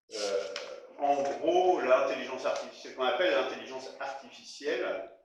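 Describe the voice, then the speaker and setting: Heard with audible room echo, a man talks at a moderate pace. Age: 60s. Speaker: retired software engineer giving a talk. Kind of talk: presentation to an audience. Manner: hesitant, many filler sounds.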